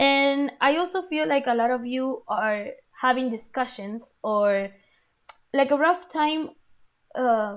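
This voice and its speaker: High-pitched woman's voice with a non-native accent, very slow pace, long, frequent pauses and lively intonation. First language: not English. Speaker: tarot reader. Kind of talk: tarot reading video; guided breathing. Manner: halting.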